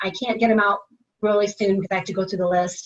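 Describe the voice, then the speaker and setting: A woman speaks at a very fast pace. Her fairly high voice is somewhat breathy. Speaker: HR account manager, webinar presenter. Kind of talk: webinar presentation. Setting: online webinar.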